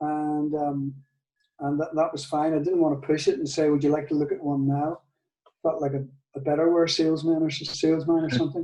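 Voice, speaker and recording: A man with a Northern Irish accent speaks in a dark, mellow tone at a fairly high pitch, at a moderate pace. His intonation is monotone and flat, broken by long, frequent pauses. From Northern Ireland. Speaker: guitar maker. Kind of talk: testimony interview. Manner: halting, with many fillers and repeats.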